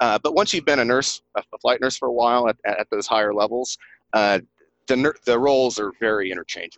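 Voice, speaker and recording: This voice moves at a fairly quick pace in an Appalachian accent, with ordinary pitch variation. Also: man, medium pitch for a man. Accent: Southern US (Appalachian), noticeable. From East Tennessee. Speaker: flight nurse and author. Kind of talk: casual interview chat. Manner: enthusiastic, animated.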